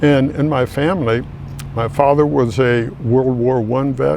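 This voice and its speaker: Noticeable background noise sits behind a man's voice. He speaks at a medium pitch with ordinary pitch variation. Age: 80s+. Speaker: army veteran. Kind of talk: interview testimony.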